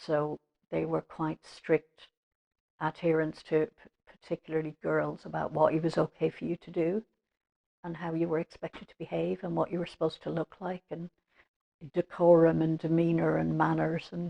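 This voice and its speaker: A woman speaks at a moderate pace in an Irish accent, her loudness swinging widely. The sound is dry and close, with no echo. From Ireland, Limerick. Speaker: interviewee. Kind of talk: life-story interview. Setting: at home.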